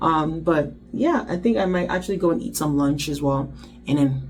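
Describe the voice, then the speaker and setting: Over music in the background and audible room echo, a woman speaks at a very deep, low pitch. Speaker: intern vlogger. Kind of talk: vlog talk to camera. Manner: fast.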